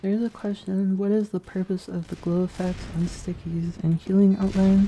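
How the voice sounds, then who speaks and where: A soft-spoken woman with a medium pitch talks at a moderate pace in a monotone, flat way. Noticeable noise sits in the background. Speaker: game developer streamer. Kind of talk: live stream Q&A. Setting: live stream while gaming. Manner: quiet.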